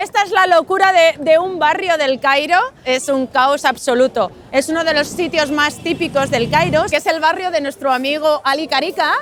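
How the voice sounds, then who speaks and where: Over noticeable background noise, a woman talks at a moderate pace, her high pitch showing ordinary variation. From Spain, Getafe (Madrid). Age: 40s. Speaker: Spanish expat tour guide. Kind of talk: casual tour narration.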